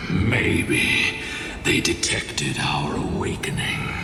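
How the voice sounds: A man speaks at a very slow pace in a put-on character voice with vocal fry. Clear music plays in the background.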